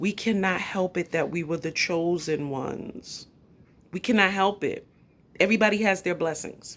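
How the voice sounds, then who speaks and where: Speaking with a New York accent at a fairly slow pace, a woman uses a fairly low pitch, vocal fry and an animated tone on a very clean recording with a silent background. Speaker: YouTube commentator. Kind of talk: live stream commentary. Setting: at home.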